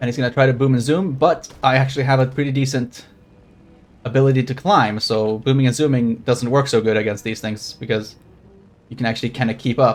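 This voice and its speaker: With fairly even intonation, a man of medium pitch talks at a fairly quick pace. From Sweden. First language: Swedish. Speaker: streamer. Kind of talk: gameplay commentary. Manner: casual.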